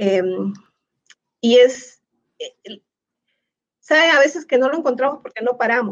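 A woman speaks at a high pitch. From Peru. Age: 50s. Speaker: educator. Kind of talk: casual interview. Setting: online livestream.

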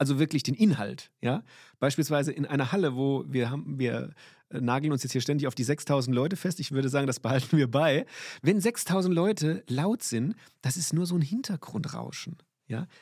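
A man with fairly high pitch talks at a moderate pace in an animated tone with lively intonation. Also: very clean recording, silent background. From Limburg, Hesse. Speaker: basketball referee. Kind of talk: interview.

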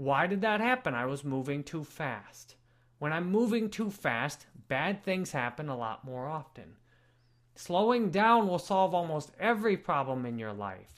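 The speech comes at a fairly slow pace, in a very clean recording with a silent background. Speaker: video creator. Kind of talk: unscripted personal reflection video. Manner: slow, measured pace; deliberate, unscripted.

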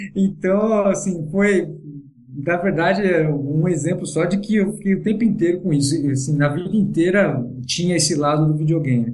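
A man speaks in a high pitch with ordinary pitch variation. His pace is moderate and his loudness very even. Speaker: virtual racing driver. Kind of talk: casual podcast chat.

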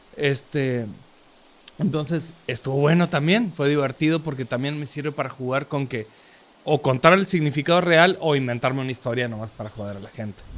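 A man with a plain, everyday voice talks at a fairly quick pace with a fairly high pitch. His pitch variation is ordinary, and his loudness swings widely. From Córdoba, Argentina. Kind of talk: casual chat.

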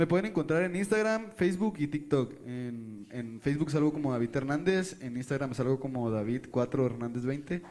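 Hardly pausing, a man speaks at a moderate pace with lively intonation and a fairly high pitch. His is a normal speaking voice. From Ensenada, Baja California, Mexico. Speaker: singer-songwriter. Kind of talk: interview.

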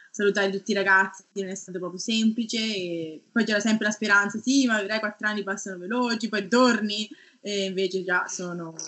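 Speaking at a fairly quick pace, the woman keeps a medium pitch and a monotone, flat intonation. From Tuscany, Italy (Garfagnana, province of Lucca). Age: 30s. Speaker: research scientist. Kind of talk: interview.

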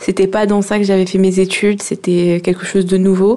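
A woman with a medium pitch talks at a moderate pace in a monotone, flat intonation. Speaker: young job seeker in work-study. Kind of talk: radio interview.

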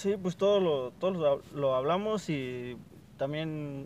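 A man's fairly high-pitched voice with ordinary pitch variation. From Veracruz, Mexico (Huasteca). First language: Nahuatl (speaking Spanish). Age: 20s. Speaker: student, native Nahuatl speaker. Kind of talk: interview.

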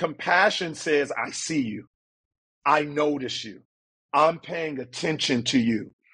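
Using ordinary pitch variation, a man with a fairly high pitch speaks in an ordinary speaking voice. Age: 40s. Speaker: couples counselor. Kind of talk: interview.

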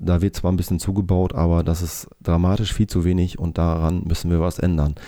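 A man talks at a fairly quick pace with a very deep, low pitch. His tone is dark and mellow, and his intonation is monotone and flat. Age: 40s. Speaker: political candidate and engineer. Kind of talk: campaign self-introduction monologue. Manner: hesitant, frequent filler sounds.

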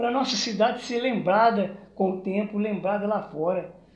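Moderately paced speech with audible room echo. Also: man. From Minas Gerais, Brazil (Triângulo Mineiro). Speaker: retired teacher and local historian, artist. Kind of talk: interview, personal life story.

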